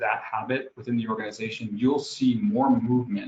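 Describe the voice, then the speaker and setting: Someone talks at a fairly quick clip with an American accent, sounding somewhat breathy, with ordinary pitch variation. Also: man. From New York. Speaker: HR executive. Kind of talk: interview. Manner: fast; animated.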